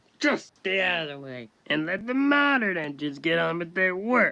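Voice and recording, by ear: A man puts on a character voice, high-pitched, bright and sharp, with vocal fry and growling. He keeps a moderate pace while his pitch swings widely.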